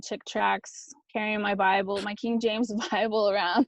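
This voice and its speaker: A woman with a Texan accent speaks at a medium pitch. The sound is dry and close with no echo against a quiet background. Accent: Texan American English. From rural South Texas. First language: Spanish. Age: 40s. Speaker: author and speaker. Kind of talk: casual interview chat. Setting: video call. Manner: fast.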